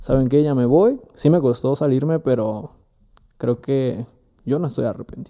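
A man with a Mexican accent speaks in a dark, mellow tone. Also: medium pitch for a man, ordinary pitch variation, moderate pace. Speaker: entrepreneur. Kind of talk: casual chat.

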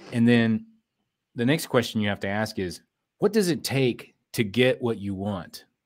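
Ordinary pitch variation and a moderate pace mark an unremarkable speaking voice. The recording is very clean with a silent background. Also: man, medium pitch for a man. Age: 40s. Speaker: business consultant and entrepreneur. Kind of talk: interview.

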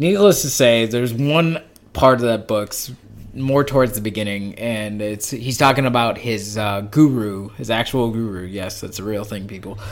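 A man speaks at a moderate pace with an American accent. Noticeable background noise runs behind him. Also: medium pitch for a man, ordinary pitch variation, big swings in loudness. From Las Vegas, Nevada. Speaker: podcast host. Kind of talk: casual chat.

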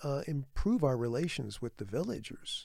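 A man with a fairly high pitch and a dark, mellow tone speaks at a fairly slow pace, his pitch swinging very widely. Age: 70s. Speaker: orangutan researcher and conservationist. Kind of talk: casual interview. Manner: halting, many fillers.

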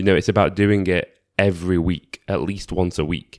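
A man speaks at a fairly low pitch. The recording is very clean with a silent background. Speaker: podcaster. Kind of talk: solo reflective monologue. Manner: casual, conversational.

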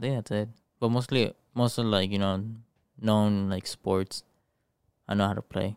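A man with a Spanish accent speaks at a moderate pace in a fairly low pitch and monotone, flat intonation. Long, frequent pauses break up his speech, and the sound is dry and close with no echo. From Mexico. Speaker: podcast co-host and streamer. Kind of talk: casual chat. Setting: online stream. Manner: casual, profane.

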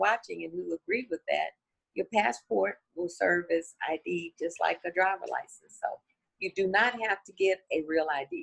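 A woman speaks at a moderate pace with an American accent. The sound is dry and close, with no echo. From southeastern Oklahoma. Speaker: politician and voting-rights advocate. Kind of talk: interview.

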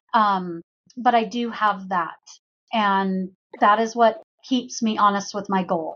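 Somewhat breathy and very slow, a woman with an American accent speaks with ordinary pitch variation. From US West Coast. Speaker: insurance agent. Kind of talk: interview.

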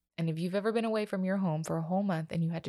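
Medium-pitched female voice with ordinary pitch variation on a very clean recording with a silent background. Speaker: podcast host, mother of a child with IBD. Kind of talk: personal monologue. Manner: casual, filler-heavy; voice getting shaky.

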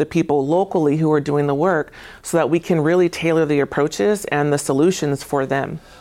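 A woman with an American accent talks at a fairly quick pace with very deep, low pitch and ordinary pitch variation. The recording is very clean, with a silent background. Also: very even loudness. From Tacoma, Washington. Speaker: state government agency director. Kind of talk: studio interview. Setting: TV studio. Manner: hesitant, many fillers.

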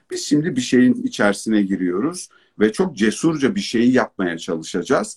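A man speaks at a moderate pace with a medium pitch. His pitch swings very widely. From Turkey. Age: 40s. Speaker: educator, consultant and author. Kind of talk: online talk / interview. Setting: online live broadcast.

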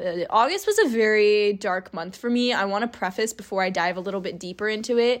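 Delivered at a fairly quick pace with fairly even intonation, an ordinary speaking voice in an American accent comes through over a quiet background. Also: woman, fairly high pitch for a woman. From California. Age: 20s. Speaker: podcaster. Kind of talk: personal monologue.

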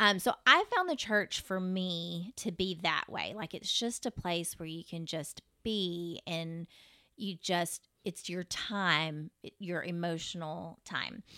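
A woman speaks at a very slow pace in a fairly low voice with a bright, sharp tone, ordinary pitch variation and big swings in loudness, recorded very cleanly against a silent background with a dry, close sound and no echo. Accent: Texan. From Texas (Fort Worth). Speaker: obstetrician-gynecologist. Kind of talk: casual interview.

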